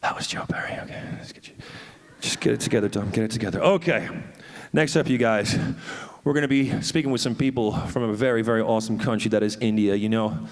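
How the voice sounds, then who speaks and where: Amid noticeable background noise and audible room echo, a man talks at a very fast pace in an animated tone, at medium pitch with ordinary pitch variation and big swings in loudness. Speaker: festival stage host. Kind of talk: live stage hosting. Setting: stage with audience.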